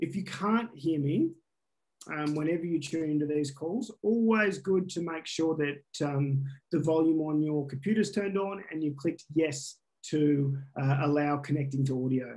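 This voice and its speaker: Moderate pace with ordinary pitch variation. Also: man, fairly high pitch for a man. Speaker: science education workshop facilitator. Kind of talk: online workshop presentation. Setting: video call. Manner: loud.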